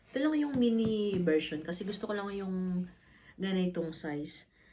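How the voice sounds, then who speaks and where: A woman's somewhat breathy voice has a dark, mellow tone and lively intonation. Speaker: vlogger. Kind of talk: casual unboxing vlog.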